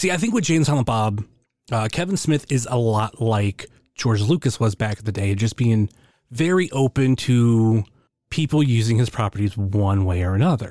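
A man with an unremarkable speaking voice and lively intonation at a moderate pace, very cleanly recorded over a silent background. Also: medium pitch for a man, very even loudness. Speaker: listener. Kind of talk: listener question.

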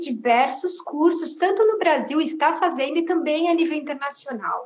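Using ordinary pitch variation, a woman talks in a high pitch at a moderate pace. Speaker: podcast host, veterinarian association. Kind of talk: interview. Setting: Instagram live video call. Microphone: poor audio with dropouts.

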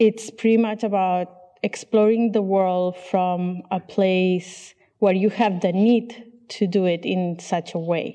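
Very slowly and with fairly even intonation, a woman talks at a medium pitch in a dark, mellow tone. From Catalonia, Spain. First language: Catalan and Spanish. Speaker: visual artist and poet.

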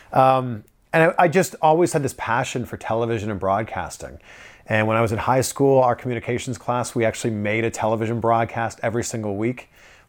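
A man with a normal speaking voice and medium pitch talks at a fairly quick pace. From Canada (Toronto). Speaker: TV entertainment reporter. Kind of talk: casual interview chat. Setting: in person in Los Angeles.

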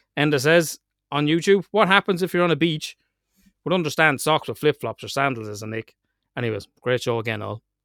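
In an Irish accent, a man speaks at a fairly quick pace and a fairly high pitch with lively intonation, the recording very clean with a silent background and a dry, close sound with no echo. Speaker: podcast host. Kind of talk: casual chat. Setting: glamping pod with rain outside. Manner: animated.

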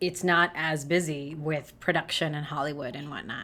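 The recording is very clean with a silent background, carrying a plain, everyday voice. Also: woman. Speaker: actor and writer. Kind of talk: casual interview.

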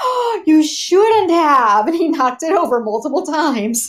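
An animated tone with very wide pitch swings carries at a moderate pace above noticeable background noise. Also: woman. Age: 40s. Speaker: podcast co-host. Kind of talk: casual chat.

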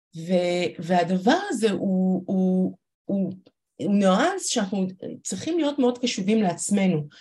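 Her words come at a moderate pace. This woman sounds somewhat breathy. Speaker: startup CEO and organizational consultant. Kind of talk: interview with live workshop.

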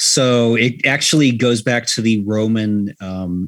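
A man speaks in an unremarkable speaking voice. His pitch sits fairly low. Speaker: podcast guest. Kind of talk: casual chat. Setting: video call.

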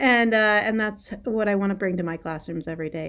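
Speaking at a moderate pace with ordinary pitch variation, a woman with a plain, everyday voice and an American accent comes through in a very clean recording with a silent background. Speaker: high school English teacher and poet. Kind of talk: casual interview.

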